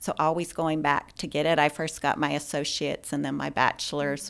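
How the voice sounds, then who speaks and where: Very clean, with a silent background, this recording features a woman with an American accent. Her pitch is very deep and low, with ordinary variation, at a moderate pace. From US Pacific Northwest, Spokane, Washington. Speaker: healthcare executive. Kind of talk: interview.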